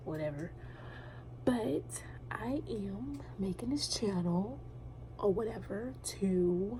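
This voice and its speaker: Someone whispers at a very slow pace with long, frequent pauses, amid noticeable background noise and audible room echo. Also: woman. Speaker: navy recruit vlogger. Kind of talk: casual vlog. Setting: hotel front desk office at night. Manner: whispering.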